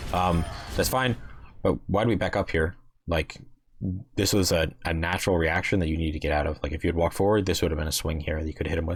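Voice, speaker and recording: A man's very deep, low voice, somewhat breathy, with ordinary pitch variation at a very fast pace. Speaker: video game coach reviewing gameplay. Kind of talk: gameplay review commentary. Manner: casual with fillers and restarts.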